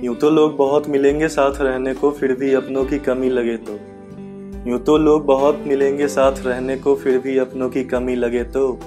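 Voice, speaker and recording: Fairly even intonation marks this man's speech, with music playing underneath. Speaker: poet. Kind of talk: poetry reading.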